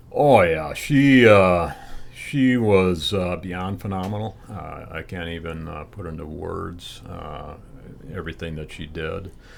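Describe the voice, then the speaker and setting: A man with a very deep, low pitch talks at a fairly slow pace, with ordinary pitch variation, big swings in loudness and audible room echo. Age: 60s. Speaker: long-distance cyclist and charity fundraiser. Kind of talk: interview. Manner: hesitant, many fillers.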